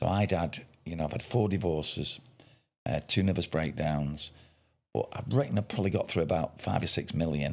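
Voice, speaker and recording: With a Mancunian accent, a man talks in a very deep, low pitch and lively intonation. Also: fairly quick pace. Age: 60s. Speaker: podcast host. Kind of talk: casual chat.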